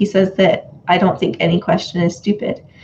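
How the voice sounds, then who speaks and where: A woman talks at a fairly quick pace in a normal speaking voice. Her pitch sits in the middle range. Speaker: student. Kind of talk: casual chat.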